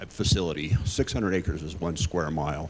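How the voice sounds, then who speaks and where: This man keeps a fairly quick pace despite noticeable background noise. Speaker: resident, public commenter. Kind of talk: public comment at council meeting. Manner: direct.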